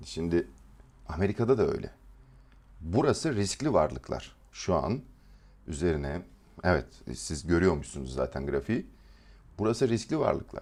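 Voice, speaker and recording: With vocal fry and a very deep, low pitch, a man speaks in very wide pitch swings, broken by long, frequent pauses. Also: moderate pace. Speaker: trading educator. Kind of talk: live stream market analysis. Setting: live stream.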